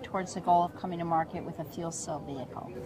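Noticeable background noise runs under a woman's voice. The sound is dry, with no echo. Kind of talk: interview answer. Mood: upbeat, promotional. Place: hall.

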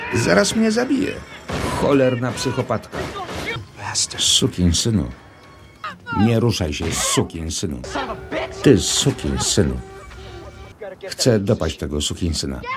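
Very slow speech with long, frequent pauses and very wide pitch swings, music in the background. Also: man, fairly low pitch for a man. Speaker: film voice-over reader. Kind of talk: film voice-over translation read. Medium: dub.

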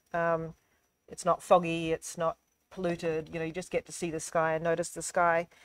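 A woman with an American accent talks at a moderate pace in a fairly low voice. Her intonation is monotone and flat, and the sound is dry with no echo. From Australia. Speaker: photographer. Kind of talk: artist talk. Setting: gallery, live stream. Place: hall.

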